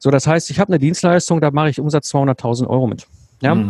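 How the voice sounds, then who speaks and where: An ordinary speaking voice belongs to this man. His pitch is fairly high, with ordinary pitch variation. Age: 40s. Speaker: systems engineer and business mentor. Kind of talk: interview.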